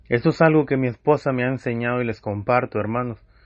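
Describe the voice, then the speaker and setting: Talking at a fairly quick pace, a man has a medium pitch. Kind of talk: testimony. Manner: loud; impassioned.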